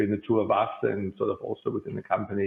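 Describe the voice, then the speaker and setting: Someone speaks at a very fast pace with a German accent. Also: man. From Germany (Bavaria). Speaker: company CEO. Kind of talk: podcast interview.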